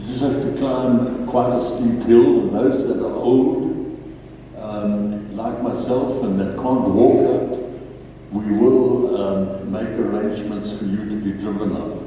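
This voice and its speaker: Over noticeable background noise and audible room echo, a man speaks at a fairly slow pace, medium in pitch with fairly even intonation. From South Africa, Natal. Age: 80s+. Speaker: farmer. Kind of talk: testimony. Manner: halting, many fillers.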